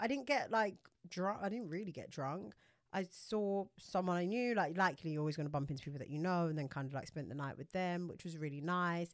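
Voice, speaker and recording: The woman speaks in a medium pitch at a fairly quick pace. Her tone is animated. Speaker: podcast co-host. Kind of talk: casual chat. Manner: animated, excitable.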